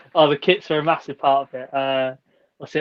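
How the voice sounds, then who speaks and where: This man talks at a fairly quick pace. He speaks with a southern English accent. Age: 30s. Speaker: football shirt social media creator. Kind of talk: casual chat.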